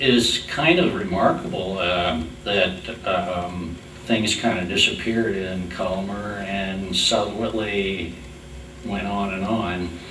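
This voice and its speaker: There is light background noise and audible room echo. A man with a fairly low pitch speaks very slowly, his intonation fairly even. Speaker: oral history interviewer. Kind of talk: interview questions. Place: meeting room.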